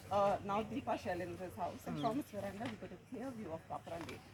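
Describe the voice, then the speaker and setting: Fairly quick delivery amid noticeable background noise. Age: 70s. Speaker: local resident speaking at a protest. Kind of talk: public speech.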